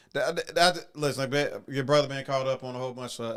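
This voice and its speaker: A man talks with fairly even intonation. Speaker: podcast host. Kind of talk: casual livestream chat. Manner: fast; halting, many fillers.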